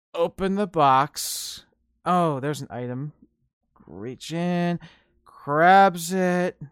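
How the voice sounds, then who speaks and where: The speech is very slow with long, frequent pauses, on a very clean recording with a silent background. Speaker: podcast host. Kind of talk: casual monologue. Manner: self-described repetitive filler words.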